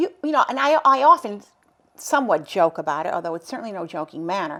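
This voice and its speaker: Talking very fast at medium pitch, a woman makes very wide pitch swings and big swings in loudness. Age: 60s. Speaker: cancer survivor and advocate. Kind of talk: interview.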